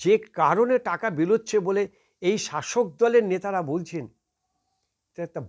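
A man's voice with ordinary pitch variation, in a dry, close sound with no echo over a quiet background. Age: 60s. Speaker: political commentator. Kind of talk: political commentary monologue.

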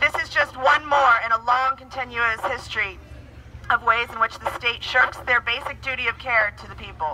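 Loud background noise competes with a woman talking at a moderate pace. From Ireland. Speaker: activist. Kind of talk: impassioned protest speech delivered as a prepared statement. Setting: outdoor street protest. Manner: indignant and forceful, building rhetorical repetition. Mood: indignant, earnest. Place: street.

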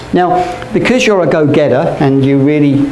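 A man speaks at a fairly slow pace amid light background noise and audible room echo. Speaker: teacher. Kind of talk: lecture. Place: classroom. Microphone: camera far.

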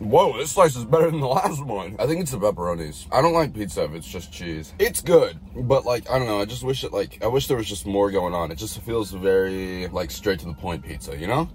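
A man's fairly low voice at a fairly quick pace, with hardly any pauses, very wide pitch swings, and light background noise. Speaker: livestreamer. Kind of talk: casual livestream chat. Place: car. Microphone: phone near.

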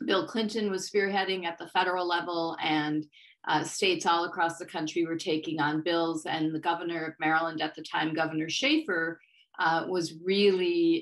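In a normal speaking voice, a woman with a fairly low pitch talks at a moderate pace and with fairly even intonation over a quiet background. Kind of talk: interview answer. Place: home room. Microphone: webcam.

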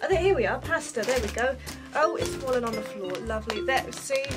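A woman speaks with a British accent. Clear music plays in the background. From England. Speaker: vlogger. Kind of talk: casual talk to camera. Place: home room. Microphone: webcam.

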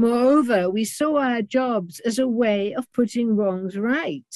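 A woman speaks with a British accent at a fairly slow pace. The sound is dry with no echo, and the background is quiet. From northern England, Durham; northern England. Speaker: retired lecturer and author; retired lecturer. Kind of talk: seminar talk. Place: home room. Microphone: webcam.

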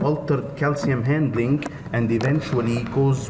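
A man speaks at a moderate pace, with light background noise behind him. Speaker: lecturer at a medical congress. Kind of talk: lecture. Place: hall.

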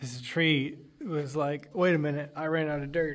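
A man speaks at a fairly slow pace in a monotone, flat intonation. Light background noise can be heard. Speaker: vlogger filming. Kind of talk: casual vlog chat. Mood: joking, playful. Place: tunnel cave. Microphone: phone near.

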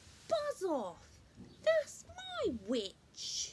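The put-on character voice is high, shrill, croaky and growling. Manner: aggressive, gruff.

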